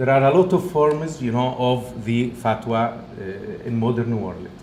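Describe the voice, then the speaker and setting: A man talks at a fairly slow pace with lively intonation over noticeable background noise. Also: medium pitch for a man. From Egypt. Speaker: professor. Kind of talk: lecture.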